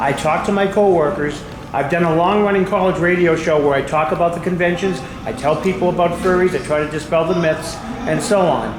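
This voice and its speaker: At a fairly quick pace, a man with a high voice speaks at very even loudness with fairly even intonation, amid noticeable background noise and audible room echo. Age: 60s. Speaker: audience member, postal worker. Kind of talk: audience comment at panel.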